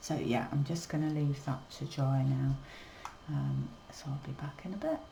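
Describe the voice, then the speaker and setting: With a very deep, low pitch and fairly even intonation, a woman talks against noticeable background noise. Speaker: watercolour artist. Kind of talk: tutorial. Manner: mumbling; casual, unhurried.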